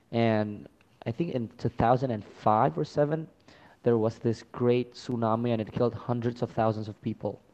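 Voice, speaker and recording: A man with a non-native accent, medium pitch and a dark, mellow tone, fairly even intonation at a moderate pace. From Indonesia, Chinese-Indonesian family. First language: not English. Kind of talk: casual debate about religion. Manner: halting.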